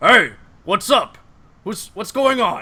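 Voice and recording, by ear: In a put-on character voice, a man speaks gruffly at an extremely high pitch.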